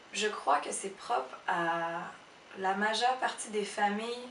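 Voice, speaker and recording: Someone speaks very slowly with a Cambodian accent and ordinary pitch variation, with audible room echo and noticeable background noise. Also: woman. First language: Khmer (speaking French). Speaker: illustrator and photo editor. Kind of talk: interview testimony. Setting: her office. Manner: halting, many hesitations.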